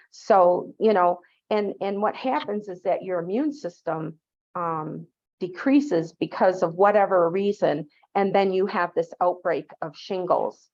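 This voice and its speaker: A woman speaks in a plain, everyday voice at medium pitch, with ordinary pitch variation. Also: fairly slow pace. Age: 60s. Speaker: public health nurse. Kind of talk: lecture. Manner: casual, with frequent fillers.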